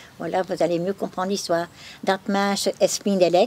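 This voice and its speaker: A woman with a Flemish accent at medium pitch and moderate pace, fairly even intonation, dry and close with no echo, over noticeable background noise. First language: Flemish (speaking French). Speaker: museum keeper. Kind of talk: testimony. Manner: halting.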